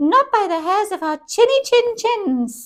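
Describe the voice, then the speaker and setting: A woman's squeaky put-on character voice, extremely high in pitch, at a fairly slow pace. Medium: read story.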